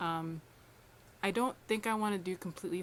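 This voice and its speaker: Soft-spoken delivery with fairly even intonation marks this voice. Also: woman. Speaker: lifestyle vlogger. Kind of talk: casual vlog talk to camera.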